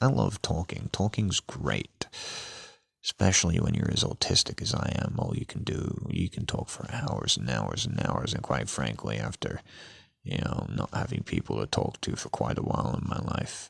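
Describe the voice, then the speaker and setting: This man's voice is very deep and low, with vocal fry and very wide pitch swings. The sound is dry and close, with no echo. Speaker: podcaster. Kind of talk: casual monologue. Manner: bland.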